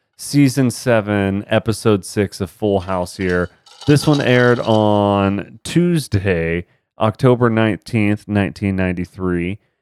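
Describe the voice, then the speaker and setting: A man's unremarkable speaking voice, fairly low in pitch with ordinary pitch variation, at a fairly slow pace, in a dry, close sound with no echo. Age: 30s. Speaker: podcast host. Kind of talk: casual chat.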